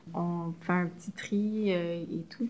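The speaker has a Quebec accent. The intonation stays fairly even. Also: woman. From Quebec, Montreal. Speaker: community organization worker. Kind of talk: interview.

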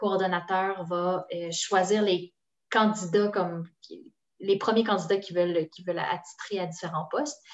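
A woman with an ordinary speaking voice talks at a moderate pace. Her pitch is medium and her intonation fairly even. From Quebec, Sherbrooke. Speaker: language program promotion officer. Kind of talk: casual interview.

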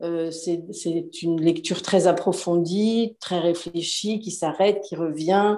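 A woman with a fairly low pitch and a dark, mellow tone speaks at a very slow pace with fairly even intonation. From France. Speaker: self-publishing business owner. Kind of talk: interview.

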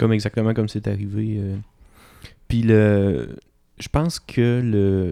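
Speaking very slowly with long, frequent pauses, a man has a dark, mellow tone and ordinary pitch variation. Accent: Quebec. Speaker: podcast co-host. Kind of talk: casual chat.

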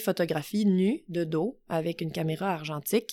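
This woman uses a plain, everyday voice at medium pitch. Her pace is moderate and her pitch variation ordinary. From Quebec, south shore of Montreal. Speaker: climbing gym owner. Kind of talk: casual interview. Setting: recorded in person in Glen Sutton.

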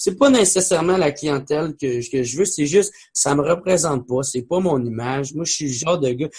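This man has a Quebec accent and a fairly high, somewhat breathy voice. He keeps a moderate pace with ordinary pitch variation. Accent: Québécois French. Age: 20s. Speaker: comedian. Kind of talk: casual chat.

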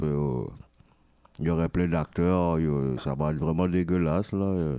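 A man speaks at a very deep, low pitch with fairly even intonation and very even loudness. His pace is fairly slow, and noticeable background noise can be heard. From Quebec. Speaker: rapper. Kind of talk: interview.

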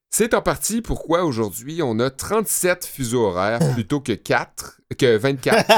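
Speaking at a very slow pace with hardly any pauses, a man with a fairly high voice swings very widely in pitch. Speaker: podcast co-host. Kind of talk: informative segment; casual chat. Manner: calm.

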